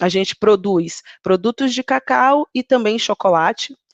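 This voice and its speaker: A woman with a Bahian accent, in dry, close sound with no echo over a quiet background. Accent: Bahian Brazilian Portuguese. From Bahia, Brazil (Ilhéus, southern Bahia). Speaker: HR manager, guest speaker. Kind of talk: online talk to students. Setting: live video call.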